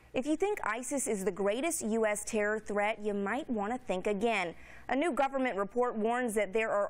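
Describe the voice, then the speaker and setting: A woman with a fairly high pitch talks at a moderate pace in an ordinary speaking voice. The recording is very clean, its background silent. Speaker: news anchor and reporter. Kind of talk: TV news anchor read. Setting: studio.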